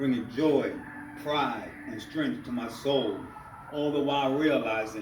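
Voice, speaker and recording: There is noticeable background noise and audible room echo as a man with an American accent talks at a fairly slow pace. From New York City, Harlem. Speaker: poet. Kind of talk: spoken word poetry performance. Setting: library reading with audience.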